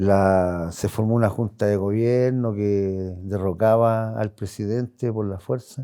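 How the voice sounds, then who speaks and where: Very slow and fairly low in pitch, a man speaks in a dark, mellow tone with ordinary pitch variation on a very clean recording with a silent background. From Chile, Santiago. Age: 60s. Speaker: interviewee, longtime neighborhood resident. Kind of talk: oral history testimony. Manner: hesitant, with fillers and restarts.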